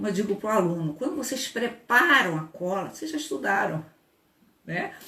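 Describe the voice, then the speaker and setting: Noticeable background noise runs under a fairly quick, animated voice that swings very widely in pitch. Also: woman. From Brazil, Rio de Janeiro. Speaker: labor law professor and lawyer. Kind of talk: online lecture.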